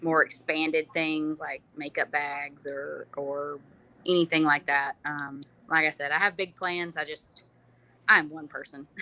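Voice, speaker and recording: A woman with a Southern US accent speaks at a very deep, low pitch and a fairly slow pace, her bright, sharp tone flat and monotone but with big swings in loudness. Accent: Southern US, noticeable. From US South, North Alabama. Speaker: small business owner, home canner. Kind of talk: interview.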